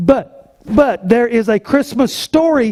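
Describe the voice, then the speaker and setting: This man talks with a Southern US accent. His pace is very slow. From US South. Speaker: pastor. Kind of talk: sermon. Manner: animated.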